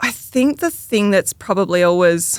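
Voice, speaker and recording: A woman speaks at a fairly slow pace in an Australian accent. The recording is very clean, the background silent. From Tasmania, Australia. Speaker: electrical engineer. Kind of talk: podcast interview answer.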